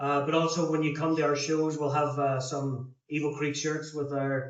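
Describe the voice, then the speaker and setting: Audible room echo surrounds a man with an Irish accent whose fairly high voice moves at a moderate pace. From Ireland. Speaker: rock band member. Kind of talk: casual interview.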